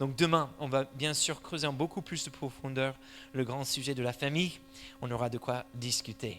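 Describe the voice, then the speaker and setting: A man speaks at a medium pitch with an American accent. His intonation stays fairly even at a moderate pace. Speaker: church elder and parenting speaker. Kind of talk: church conference talk. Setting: church hall with audience.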